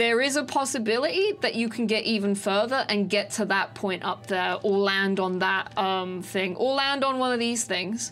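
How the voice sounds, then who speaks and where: At a moderate pace, a woman of medium pitch talks with ordinary pitch variation. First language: not English. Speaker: speedrunner, gaming tutorial creator. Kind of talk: gameplay tutorial. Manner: halting, many fillers and restarts.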